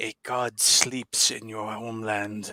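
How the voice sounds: Using a put-on character voice, a man talks at medium pitch and a fairly slow pace with monotone, flat intonation, in a dry, close sound with no echo.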